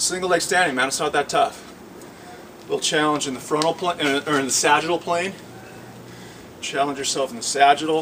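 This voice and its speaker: This man's voice sits at a fairly high pitch, and he leaves long, frequent pauses. Noticeable background noise runs under the recording. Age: 70s. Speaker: fitness instructor. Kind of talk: exercise tutorial. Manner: animated; casual, halting.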